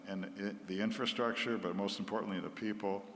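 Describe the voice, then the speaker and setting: Amid noticeable background noise and audible room echo, a man speaks in a fairly low pitch with monotone, flat intonation. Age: 80s+. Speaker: missionary doctor. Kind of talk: church talk.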